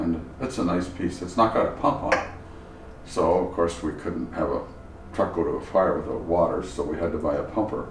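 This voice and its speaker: A man's very deep, low voice with a Canadian accent, ordinary pitch variation and a moderate pace, amid audible room echo and noticeable background noise. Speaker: antique fire truck collector. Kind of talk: interview.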